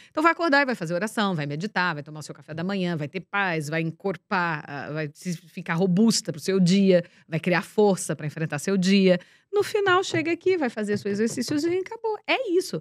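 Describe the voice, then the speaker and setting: With a normal speaking voice at a medium pitch, a woman talks at a moderate pace with hardly any pauses and lively intonation, in a very clean recording with a silent background. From interior of São Paulo state, Brazil (Ibaté). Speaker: TV presenter and speaker. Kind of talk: interview. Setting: studio.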